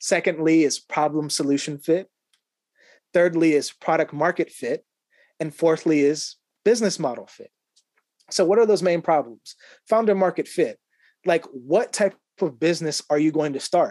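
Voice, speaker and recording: A man with an American accent and a high pitch talks at a moderate pace with ordinary pitch variation and long, frequent pauses, his sound dry and close with no echo over a quiet background. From Ohio, US. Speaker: author and business coach. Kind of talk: casual interview.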